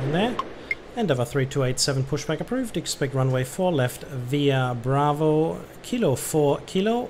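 Against noticeable background noise, a man with a fairly high pitch and lively intonation speaks at a very slow pace and very even loudness. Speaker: gaming streamer playing air traffic controller. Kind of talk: let's-play commentary mixed with ATC radio phraseology. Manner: chatty German asides with frequent äh fillers.

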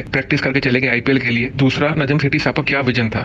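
A man at a fast pace, medium pitch, with a fairly bright tone, fairly even intonation and faint background noise.

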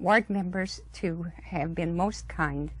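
A woman speaks at a slow pace. Her pitch is fairly low.

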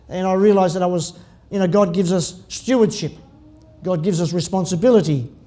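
Talking at a very fast pace, a man with an Australian accent uses a high pitch and ordinary pitch variation. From Tasmania, Australia. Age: 60s. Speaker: pastor. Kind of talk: sermon. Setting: church. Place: church. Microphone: podium.

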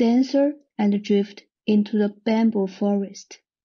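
A woman speaks with a Chinese accent and fairly even intonation. Her voice is somewhat breathy. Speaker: art and design researcher. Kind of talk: recorded conference presentation.

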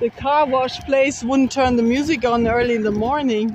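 The voice moves at a fairly slow pace in a dry sound with no echo, with light background noise. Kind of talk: casual vlog chat. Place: open country. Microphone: phone near.

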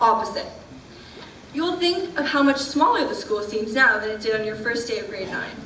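A woman's voice is raised and projected. Room echo is audible, along with light background noise. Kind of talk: ceremonial speech. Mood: warm, lightly humorous. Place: hall. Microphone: podium.

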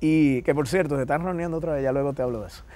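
A man speaks in a fairly high pitch with ordinary variation and a dark, mellow tone. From Dominican Republic. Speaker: interview guest. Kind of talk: TV interview. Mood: warm, smiling storytelling. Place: studio. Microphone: lapel.

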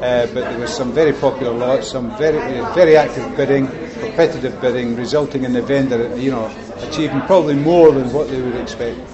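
A man's medium-pitched voice at a fairly quick pace, ordinary pitch variation, crowd noise behind him. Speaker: property auctioneer. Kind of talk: interview answer. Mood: upbeat, confident.

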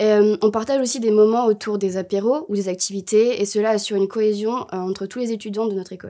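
Against a quiet background, a woman talks at a very fast pace with hardly any pauses. Her fairly high voice has a dark, mellow tone and fairly even intonation. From Bordeaux, southwest France; France. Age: 20s. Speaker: engineering student. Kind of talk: promotional interview. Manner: hesitant, many fillers. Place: studio.

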